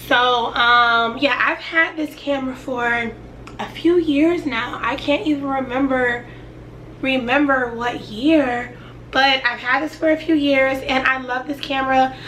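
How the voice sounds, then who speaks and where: A woman talks in a raised, projected voice with a high pitch at a fairly slow pace, with audible room echo and noticeable background noise. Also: fairly even intonation. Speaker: YouTuber. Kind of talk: casual sit-down tutorial.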